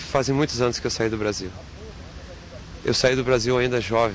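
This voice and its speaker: Over noticeable background noise, a man speaks at medium pitch with fairly even intonation. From southern Brazil (Rio Grande do Sul). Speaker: footballer. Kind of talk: interview.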